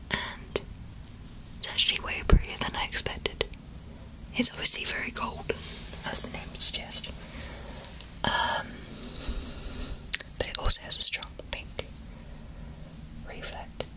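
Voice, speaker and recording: A woman whispers at a moderate pace, with long, frequent pauses. Her loudness swings widely, and there is noticeable background noise. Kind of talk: ASMR makeup unboxing, talking the viewer through products. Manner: soft-spoken, whispered.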